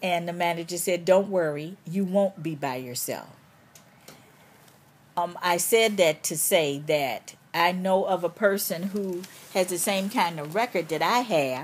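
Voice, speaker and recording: In an American accent, a woman with an unremarkable speaking voice talks at a fairly slow pace, her pitch fairly low with ordinary variation. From Chicago. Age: 60s. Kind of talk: interview answer.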